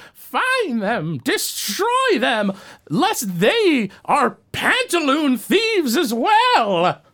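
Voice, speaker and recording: A shouted, croaky, put-on character voice at a high pitch and a very slow pace. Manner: menacing, screaming.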